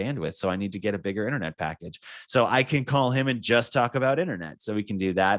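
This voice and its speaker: An upbeat man with vocal fry talks at a fairly quick pace, his pitch swinging very widely. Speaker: software trainer. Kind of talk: product tutorial webinar. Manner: fast; casual, upbeat.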